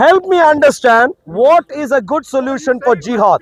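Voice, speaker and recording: In a dry, close recording with no echo, a man speaks at an extremely high pitch with lively intonation. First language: not English. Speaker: street debater. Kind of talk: heated debate. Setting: outdoors.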